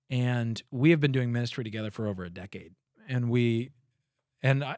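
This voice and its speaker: With a plain, everyday voice, a man speaks at a fairly quick pace and medium pitch with ordinary pitch variation, the very clean recording dry and close with no echo and a silent background. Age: 30s. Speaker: podcast host and former church planter. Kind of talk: casual chat.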